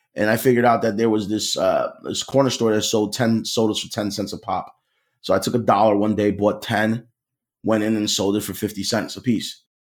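Fairly quick speech with a Philadelphia accent. The intonation is monotone and flat. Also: man, fairly low pitch for a man. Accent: Philadelphia American. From US Northeast, Philadelphia. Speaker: cybersecurity sales consultant. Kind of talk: podcast interview.

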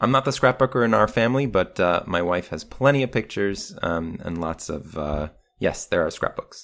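In an ordinary speaking voice, a man talks at a moderate pace with hardly any pauses. His pitch is fairly low and his intonation lively. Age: 30s. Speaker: podcast host. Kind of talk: casual chat.

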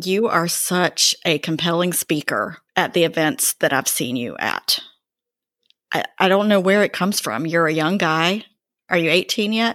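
A woman with an American accent speaks in a plain, everyday voice, fairly low in pitch, at a fairly slow pace with ordinary pitch variation, in a very clean recording with a silent background and a dry, close sound with no echo. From North Carolina, Greensboro. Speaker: podcast host. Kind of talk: interview.

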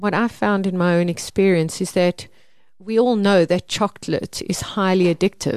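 A woman with a South African accent at a medium pitch, ordinary pitch variation, in a dry, close sound with no echo. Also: moderate pace, quiet background. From South Africa, Mpumalanga. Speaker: organic gardening expert and seed seller. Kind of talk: casual interview. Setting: studio.

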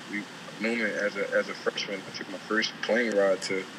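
A man speaks at a medium pitch. Noticeable noise runs in the background. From South Philadelphia. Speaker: pro basketball player. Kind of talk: casual interview.

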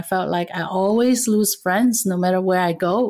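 Speaking with a Cantonese accent, a woman uses a medium pitch. Her pace is moderate. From Vietnam, raised around Asia, then US. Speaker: intercultural trainer and leadership coach. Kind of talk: interview.

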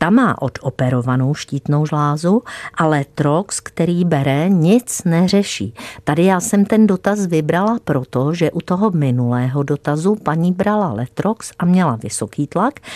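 In a normal speaking voice, a woman speaks at a fairly low pitch and fairly slow pace with lively intonation, in a dry, close sound with no echo. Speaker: doctor and health show expert. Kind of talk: radio health advice chat. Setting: radio studio.

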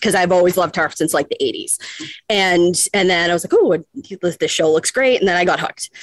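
This woman has a plain, everyday voice at medium pitch. She talks at a fairly quick pace with fairly even intonation, and the sound is dry and close with no echo. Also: very even loudness. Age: 40s. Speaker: fan caller. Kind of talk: casual chat.

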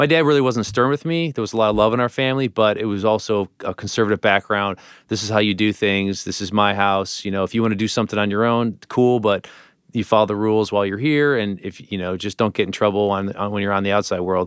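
At a very fast pace, a man with a fairly low pitch speaks in an American accent. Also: ordinary pitch variation. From Parma, Ohio (Cleveland area). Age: 40s. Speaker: restaurant founder and chef. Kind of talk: interview. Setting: studio.

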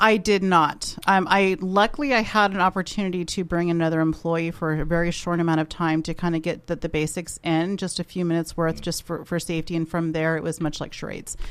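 With an ordinary speaking voice, a woman talks at a fairly low pitch and fairly quick pace. Her intonation is fairly even, with hardly any pauses. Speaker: show staff member. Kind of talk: casual radio talk.

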